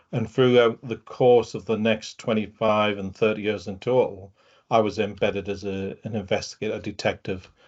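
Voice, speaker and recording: Delivered at a moderate pace, the intonation stays monotone and flat. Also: man. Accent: northeast English. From northeast England. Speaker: fraud and open-source investigation specialist, retired detective. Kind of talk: webinar talk. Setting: video call.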